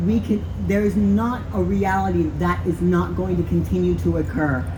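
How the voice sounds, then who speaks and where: A woman with an American accent speaks at a moderate pace with hardly any pauses, amid noticeable background noise and audible room echo. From Texas. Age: 40s. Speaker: activist. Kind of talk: rally speech.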